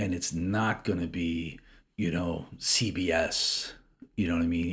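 Speaking with an American accent, a man has a very deep, low pitch and a somewhat breathy voice. His intonation is monotone and flat. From US Midwest, Chicago suburbs. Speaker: businessman and investor. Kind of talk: interview. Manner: halting, with frequent repetitions.

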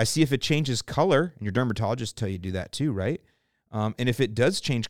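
Lively intonation and an American accent come through a dry, close sound with no echo on a very clean recording with a silent background. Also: man. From US South, St. Petersburg, Florida. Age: 50s. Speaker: lawn care podcast host. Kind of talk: casual Q&A chat.

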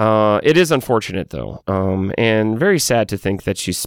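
With an American accent and an ordinary speaking voice, a man speaks at a moderate pace and a fairly low pitch. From Texas. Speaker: podcast host. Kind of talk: podcast commentary.

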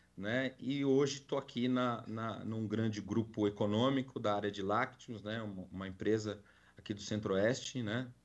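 A man with a plain, everyday voice at a medium pitch, fairly even intonation and a moderate pace, over a quiet background. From Brazil, São Paulo city. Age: 40s. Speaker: corporate security and loss prevention manager. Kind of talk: live podcast interview.

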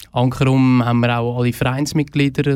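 A man's medium-pitched voice, dark and mellow, with monotone, flat intonation. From Switzerland, Fricktal (Aargau). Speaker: festival organizer. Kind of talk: radio interview.

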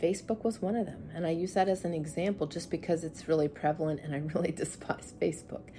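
Somewhat breathy with a dark, mellow tone, a woman with a fairly low pitch speaks at a very fast pace with hardly any pauses and fairly even intonation. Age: 50s. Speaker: faith and wellness podcast host. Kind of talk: solo podcast monologue. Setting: indoors, seated in a room.

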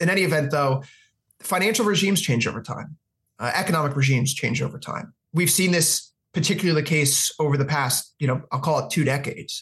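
A man with a plain, everyday voice speaks at a fairly quick pace, his pitch fairly high with ordinary pitch variation. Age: 30s. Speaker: futures and forex analyst. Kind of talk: interview.

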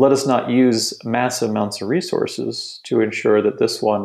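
Moderately paced male speech in a plain, everyday voice, with ordinary pitch variation. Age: 40s. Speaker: philosopher. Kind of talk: casual chat.

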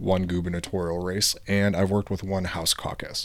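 With an American accent, a man talks at a fairly quick pace in a very deep, low voice. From Michigan, US. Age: 20s. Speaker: podcast host. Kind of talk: scripted narration.

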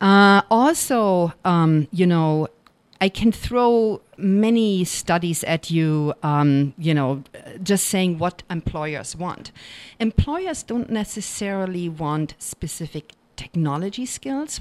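A woman with a German accent and a fairly low pitch speaks very slowly, recorded dry and close with no echo on a very clean recording with a silent background. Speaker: college professor. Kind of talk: interview. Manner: many filler words, hesitant.

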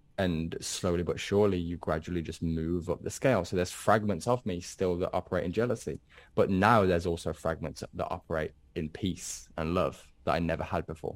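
A man talks at a fairly quick pace in a very deep, low voice with fairly even intonation, recorded very cleanly against a silent background. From England, Birmingham. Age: 20s. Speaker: trader. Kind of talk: interview.

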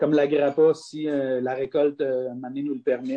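The speaker is a man. His pitch sits fairly high. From Quebec, south shore of Quebec City. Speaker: distillery and vineyard owner. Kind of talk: interview.

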